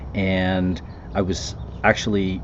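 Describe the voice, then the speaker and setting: A soft-spoken man talks with a very deep, low pitch. Noticeable background noise and audible room echo surround him. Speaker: commercial real estate investor. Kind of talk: casual podcast monologue. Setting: outdoors by the water. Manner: hesitant, many fillers.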